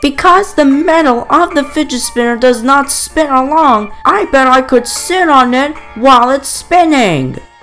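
A man speaks at a moderate pace in a cartoonish character voice. Faint music plays in the background. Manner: excitable, exclamatory. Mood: giddy, eager.

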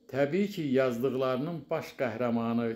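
At a fairly slow pace, a man speaks with a medium pitch in a room with audible echo. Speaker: writer and publisher. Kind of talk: prepared tribute speech. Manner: formal.

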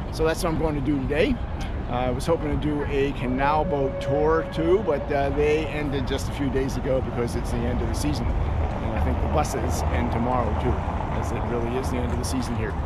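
A man at a fairly quick pace, dry sound with no echo, loud background noise. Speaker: travel vlogger. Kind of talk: casual vlog chat. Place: street. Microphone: phone near.

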